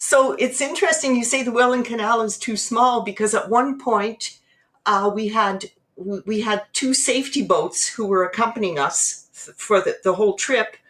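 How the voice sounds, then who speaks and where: A woman with a fairly high pitch keeps her speech at a moderate pace. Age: 60s. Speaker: teacher and endurance athlete. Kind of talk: podcast interview. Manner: animated.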